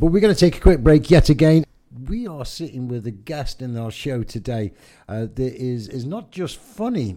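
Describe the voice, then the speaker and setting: With an English accent, a man of medium pitch talks at a moderate pace. His tone is dark and mellow, and his intonation is lively. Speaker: radio host and coach. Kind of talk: casual radio chat. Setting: studio. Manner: excitable.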